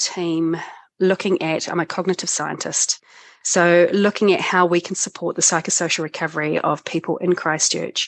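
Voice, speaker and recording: With a New Zealand accent, a woman speaks at a moderate pace in a fairly low pitch, in a dry, close sound with no echo against a quiet background. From New Zealand, North Island. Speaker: cognitive scientist, disaster recovery expert. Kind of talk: interview, personal story.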